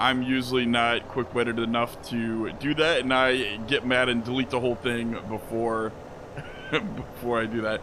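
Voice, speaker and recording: Monotone, flat intonation from a man at medium pitch and moderate pace, with noticeable background noise. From farm upbringing. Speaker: gaming YouTuber. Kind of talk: casual gameplay commentary.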